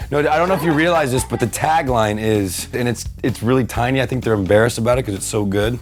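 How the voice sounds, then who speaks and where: With music in the background, a man talks in a relaxed tone at medium pitch, his intonation lively. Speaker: actor. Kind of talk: casual interview answer. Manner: relaxed, friendly.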